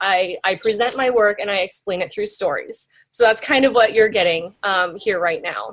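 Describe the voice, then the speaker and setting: With an American accent, a woman talks at a medium pitch and a moderate pace. She has ordinary pitch variation and hardly any pauses. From US Midwest, small-town Iowa. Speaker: graphic designer. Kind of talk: guest lecture. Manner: casual, many fillers.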